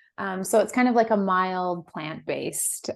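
A woman with an American accent and a plain, everyday voice, medium in pitch, at a moderate pace over a quiet background. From US West Coast. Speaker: founder of a microdosing supplement company. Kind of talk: casual interview chat.

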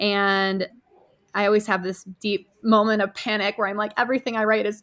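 Speaking at a moderate pace, a woman with an American accent has a bright, sharp tone and a fairly high pitch. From upstate New York. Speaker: copywriter and business owner. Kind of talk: casual interview.

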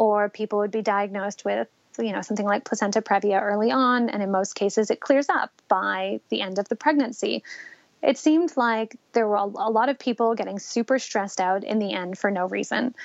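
Here is a normal speaking voice from a woman. She talks at a fairly quick pace and a medium pitch. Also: ordinary pitch variation. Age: 30s. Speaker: mother sharing birth story. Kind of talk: testimony.

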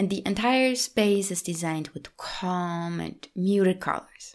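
A woman speaks with a non-native accent at a fairly slow pace. Her pitch variation is ordinary, and the recording is very clean with a silent background. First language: not English. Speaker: podcast host, lifestyle coach. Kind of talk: solo podcast monologue. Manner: warm, gentle.

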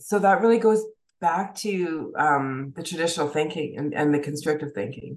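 At a moderate pace, a woman with a very deep, low pitch speaks with lively intonation. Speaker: trader. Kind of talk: interview.

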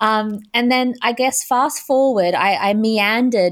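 Silent background and a very clean recording behind a woman's voice. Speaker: spiritual entrepreneur and business coach. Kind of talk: interview conversation. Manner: gentle; slow.

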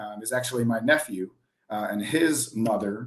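A man speaks at a moderate pace with a medium pitch and ordinary pitch variation. He has a plain, everyday voice. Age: 40s. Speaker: auto industry consultant. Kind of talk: casual chat.

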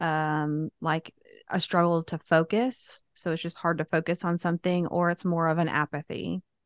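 An ordinary speaking voice at a moderate pace with hardly any pauses, against a quiet background. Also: woman, dry, close sound with no echo. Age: 40s. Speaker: podcast host, widow coach. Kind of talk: interview.

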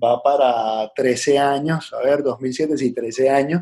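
A man with an ordinary speaking voice talks at a medium pitch with fairly even intonation. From Venezuela (Puerto Ordaz, Caracas). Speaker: entrepreneur, restaurant franchise founder. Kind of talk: casual interview.

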